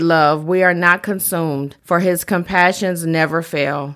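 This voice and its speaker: A woman's ordinary speaking voice, fairly low in pitch, at a fairly slow pace, in a very clean recording with a silent background. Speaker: prayer walk volunteer leading prayer. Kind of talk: fervent prayer. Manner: earnest, heartfelt, devout.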